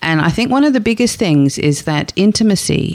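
This woman has an Australian accent. Her intonation is lively. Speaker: sex therapist. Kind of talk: interview.

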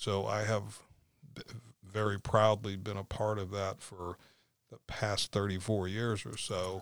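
In a very clean recording with a silent background, a man with an American accent talks fairly slowly at a fairly low pitch, his intonation monotone and flat, with long, frequent pauses. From Florida, St. Petersburg. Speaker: former police officer and property developer. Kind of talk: casual interview. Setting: studio.

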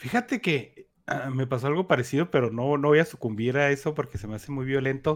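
In a Mexican accent, a man speaks fairly quickly with a fairly high pitch. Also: ordinary pitch variation. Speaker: podcast co-host. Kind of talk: casual chat.

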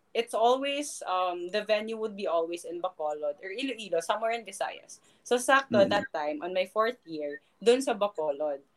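The speaker has a Filipino accent. The delivery runs fairly quickly with hardly any pauses. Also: woman, medium pitch for a woman, lively intonation. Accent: Filipino English with Tagalog code-switching. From Philippines. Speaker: professional volleyball player and sports analyst. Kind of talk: casual interview chat. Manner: animated, laughs often.

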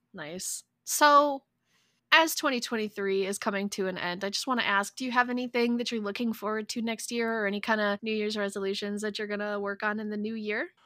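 On a very clean recording with a silent background, a woman with an American accent speaks fairly quickly in a fairly high voice with a bright, sharp tone. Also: ordinary pitch variation. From United States. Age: 30s. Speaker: podcast co-host. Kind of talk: casual chat.

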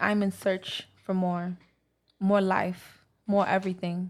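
A woman with an American accent, medium pitch, and monotone, flat intonation, recorded very cleanly against a silent background. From Brooklyn, New York. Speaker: author and poet. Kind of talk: casual chat, interview.

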